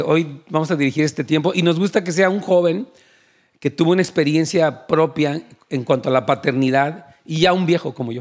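A man with a normal speaking voice talks at a fairly quick pace and fairly high pitch, with ordinary pitch variation. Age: 60s. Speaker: pastor. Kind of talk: sermon.

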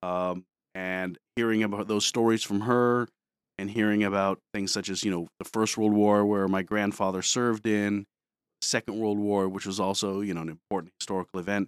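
On a very clean recording with a silent background and a dry, close sound with no echo, a man speaks with an American accent. His pitch is fairly low, his intonation monotone and flat, his pace moderate. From Detroit, US Midwest. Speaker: high school history teacher, former Marine. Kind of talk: interview on a school morning show.

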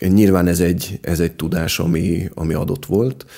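A man's very deep, low voice, dark and mellow in tone, with vocal fry and ordinary pitch variation. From Budapest, Hungary. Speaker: farmer and gardener. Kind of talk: interview. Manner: hesitant, repeats words.

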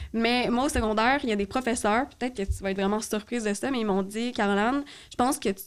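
Here a woman speaks in a Quebec accent. Her pitch is fairly high. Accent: Québécois French. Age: 20s. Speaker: podcast guest with ADHD. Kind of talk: casual chat.

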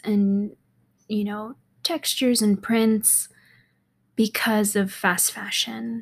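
Somewhat breathy at a medium pitch, a woman speaks with fairly even intonation at a very slow pace in a very clean recording with a silent background. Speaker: podcast host, fashion entrepreneur. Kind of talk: casual solo monologue. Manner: giggly, frequent laughter; rambling, many fillers.

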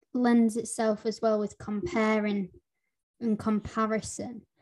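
Against a quiet background, a woman with a Lancashire accent speaks at a fairly slow pace in a dark, mellow tone. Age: 20s. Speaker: podcast host. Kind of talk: casual interview.

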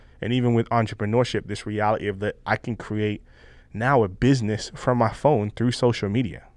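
A man's normal speaking voice at a medium pitch, fairly quick, with fairly even intonation. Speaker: podcast host. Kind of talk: casual chat. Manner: casual, conversational.

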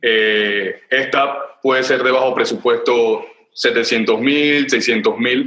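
A man's very slow speech at very even loudness. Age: 30s. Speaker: film director. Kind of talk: casual interview.

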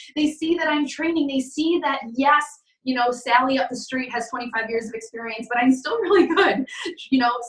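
Speaking with an American accent, a woman has a high pitch and ordinary pitch variation. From western New York, US. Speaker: real estate team leader and business owner. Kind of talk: interview answers. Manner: fast talker.

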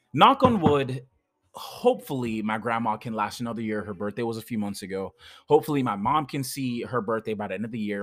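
Fairly low in pitch, a man talks fairly quickly with ordinary pitch variation, the sound dry and close with no echo. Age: 20s. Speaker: podcaster. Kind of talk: audio diary monologue. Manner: halting, many fillers.

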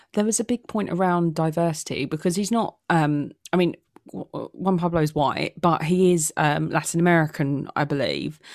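On a very clean recording with a silent background, a woman talks at a moderate pace with a British accent. Her pitch is fairly low and varies in an ordinary way. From UK. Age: 20s. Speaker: podcast host. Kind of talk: casual chat.

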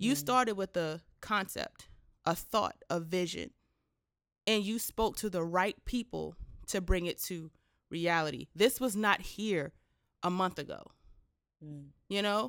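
In a very clean recording with a silent background, a woman speaks at a fairly slow pace in an animated tone, with ordinary pitch variation and long, frequent pauses. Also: medium pitch for a woman. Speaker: podcast host. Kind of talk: casual interview chat. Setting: in a rented creative space. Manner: animated, excitable.

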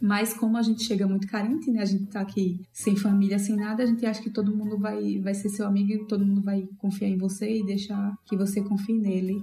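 Over noticeable background noise, a woman speaks at a fairly quick pace with hardly any pauses. Her medium-pitched voice keeps a very even loudness and a monotone, flat intonation. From Maceió, Brazil. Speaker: podcast host. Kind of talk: casual chat.

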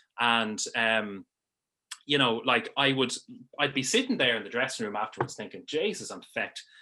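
Speaking in a Dublin accent, a man with a medium pitch and a bright, sharp tone keeps a moderate pace with ordinary pitch variation. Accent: Dublin Irish. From Ireland, Dublin. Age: 30s. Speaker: sports broadcaster and gym member. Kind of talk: casual interview. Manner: halting, many fillers and repeats.

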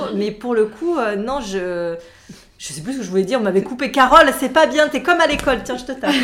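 Against noticeable background noise, a woman speaks at a high pitch with lively intonation and big swings in loudness. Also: fairly quick pace. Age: 40s. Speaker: nail artist. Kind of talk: casual chat.

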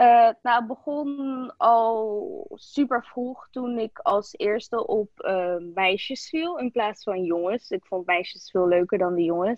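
A woman speaks at a very slow pace with hardly any pauses. Her fairly high voice swings very widely in pitch. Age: 20s. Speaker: interviewee. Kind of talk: interview.

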